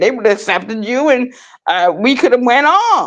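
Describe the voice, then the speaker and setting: A woman with a New York accent, animated in tone and lively in intonation. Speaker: vlogger. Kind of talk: personal monologue.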